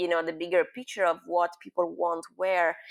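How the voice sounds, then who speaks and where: With an Italian accent, a woman of medium pitch speaks at a moderate pace in a very clean recording with a silent background. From Milan, Italy. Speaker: experiential designer and new media artist. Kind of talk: interview answer.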